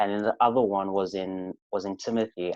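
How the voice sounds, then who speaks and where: Fairly low in pitch, a man with a South African accent keeps a fairly even intonation. The sound is dry and close with no echo, over a quiet background. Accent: sounds South African. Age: 20s. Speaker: podcast guest. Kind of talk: casual chat. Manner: halting.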